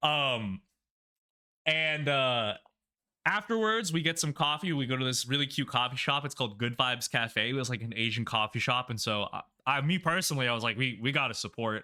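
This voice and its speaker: A loud man's voice, medium in pitch, bright and sharp in tone, with lively intonation at a fairly quick pace, on a very clean recording with a silent background. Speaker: YouTuber / content creator. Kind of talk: casual vlog narration. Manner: casual with many fillers.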